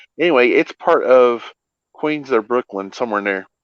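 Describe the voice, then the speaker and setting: Lively intonation from a man speaking with an American accent. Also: dry, close sound with no echo. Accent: twang. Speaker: livestream host. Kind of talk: casual chat.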